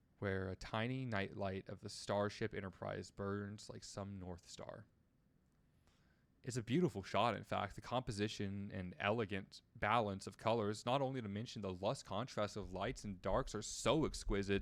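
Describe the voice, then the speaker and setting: A man's normal speaking voice, fairly low-pitched, with fairly even intonation at a moderate pace. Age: 20s. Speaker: streamer. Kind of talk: casual chat; reading aloud. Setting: live stream.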